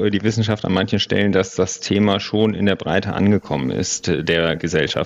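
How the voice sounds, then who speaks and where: At a moderate pace, a man with a fairly low pitch and ordinary pitch variation speaks over noticeable background noise. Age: 30s. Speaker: sustainability consultant. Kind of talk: interview.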